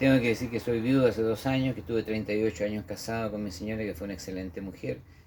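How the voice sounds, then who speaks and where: A man talks at a very fast pace with hardly any pauses, over noticeable background noise. His pitch is fairly low, with ordinary variation. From central-south Chile, Parral then Paine. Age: 60s. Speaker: memorial director and former local councillor. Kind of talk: interview. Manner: hesitant, many fillers.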